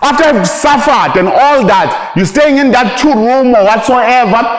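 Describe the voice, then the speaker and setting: A man talks in an animated tone with lively intonation and an extremely high pitch. His pace is moderate, and the room echo is audible. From South Africa, rural KwaZulu-Natal. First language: Zulu. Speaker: motivational speaker in network marketing. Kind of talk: motivational speech to a live audience. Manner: animated, repetitive.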